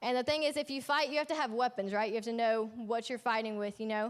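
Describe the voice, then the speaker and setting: Her tone is animated, and a woman speaks at a high pitch. Her pitch varies an ordinary amount. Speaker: youth ministry leader. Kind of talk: sermon. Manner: fast.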